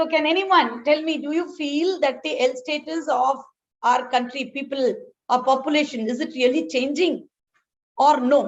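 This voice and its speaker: This woman's voice is high-pitched. Its pitch moves in an ordinary way. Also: moderate pace. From South India. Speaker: healthcare management academic. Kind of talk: lecture. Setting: webinar.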